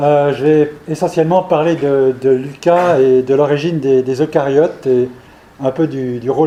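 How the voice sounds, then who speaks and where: Here a man speaks at a moderate pace. His pitch is fairly high, with fairly even intonation. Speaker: professor and evolutionary biologist. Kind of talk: scientific seminar lecture. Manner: hesitant, many fillers and repetitions.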